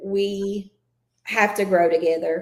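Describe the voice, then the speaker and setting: A woman talks at a medium pitch with a Southern accent. Room echo is audible. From Kentucky. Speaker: school administrator. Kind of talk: podcast interview.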